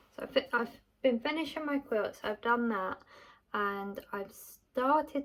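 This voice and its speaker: A woman with a British accent, moderate pace and ordinary pitch variation. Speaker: small business owner and vlogger. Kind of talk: casual vlog talk; voiceover narration.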